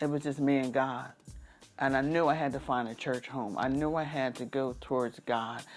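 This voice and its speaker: A woman speaks at a moderate pace in a very deep, low pitch. Music plays in the background. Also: fairly even intonation. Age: 50s. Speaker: podcast host and special events planner. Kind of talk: personal testimony monologue. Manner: halting, with repeated words.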